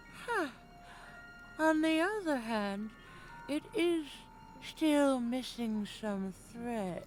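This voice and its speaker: In a put-on character voice, a woman speaks at a very slow pace with long, frequent pauses, her high pitch making very wide swings. Clear music plays in the background. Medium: video game. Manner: cryptic, coaxing.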